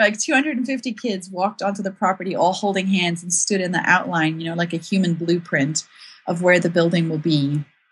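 At a moderate pace, a woman speaks in a fairly low, somewhat breathy voice with ordinary pitch variation. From South Africa. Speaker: author and blogger. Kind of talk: casual interview chat.

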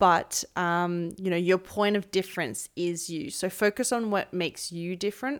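On a very clean recording with a silent background, a woman with an Australian accent speaks at a medium pitch. She keeps a moderate pace with hardly any pauses. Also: ordinary pitch variation. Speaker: fitness coach and podcast host. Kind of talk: casual interview chat. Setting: one shared mic, in person.

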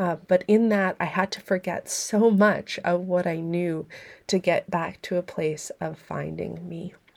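At a fairly slow pace, a woman talks in a fairly low pitch with monotone, flat intonation. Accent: Canadian. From Saskatchewan, Canada. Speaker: podcast host, holistic nutritionist and private chef. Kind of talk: personal narrative monologue.

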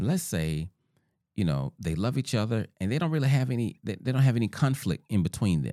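Recorded very cleanly against a silent background, with a dry, close sound and no echo, a man with a Southern US accent speaks fairly quickly in a medium-pitched, dark, mellow tone that swings very widely in pitch. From US South. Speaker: podcast host, relationship author. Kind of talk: solo talk on relationships.

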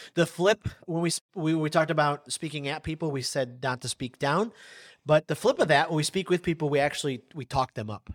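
Fairly quick speech from a man, with ordinary pitch variation, comes through in a dry, close sound with no echo on a very clean recording with a silent background. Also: fairly high pitch for a man. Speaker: podcast co-host, speaker. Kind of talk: casual chat. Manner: loud.

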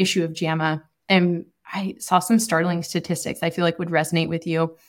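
A woman's fairly low voice, an unremarkable speaking voice, with fairly even intonation at a fairly quick pace. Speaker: podcast co-host and public health advocate. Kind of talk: casual chat.

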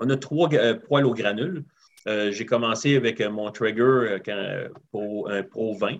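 A man speaks with a Quebec accent. His pace is very slow. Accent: Québécois French. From Quebec (Rivière-du-Loup). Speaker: barbecue enthusiast. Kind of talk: casual interview. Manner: halting.

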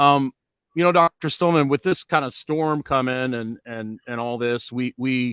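A man's medium-pitched voice at a fairly slow pace, with ordinary pitch variation, in a dry, close sound with no echo and a very clean recording with a silent background. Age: 40s. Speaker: wellness podcast host. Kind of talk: casual chat. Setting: live stream.

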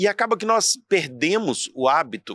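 A man with a Brazilian accent, high in pitch and bright and sharp in tone, in a dry, close sound with no echo. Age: 40s. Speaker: entrepreneur and motivational speaker. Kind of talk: casual interview chat. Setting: in person at his institute.

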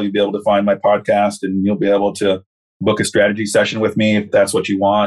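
A man talks very fast at a fairly low pitch. His intonation is monotone and flat. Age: 40s. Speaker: corrections counselor and life coach. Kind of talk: casual interview.

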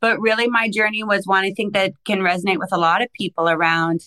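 A woman with a Canadian accent talks at a fairly quick pace in a bright, sharp tone. Her medium pitch has ordinary variation, and the sound is dry and close, with no echo. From Canada. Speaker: life coach and consultant. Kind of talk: interview.

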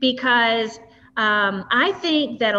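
A woman's fairly high voice with a Southern US accent and ordinary pitch variation. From US South, West Tennessee. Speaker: podcast host. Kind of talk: interview.

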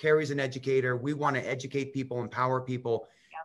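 In a normal speaking voice, a man talks at a fairly quick pace and fairly high pitch with ordinary pitch variation. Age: 40s. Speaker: wellness company partner, former soccer player. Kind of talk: live stream chat.

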